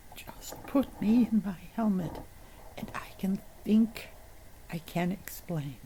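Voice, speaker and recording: A female-sounding, put-on character voice whispers in a robotic, tired tone. It moves at a fairly slow pace with long, frequent pauses. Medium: read story. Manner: feeble, tired.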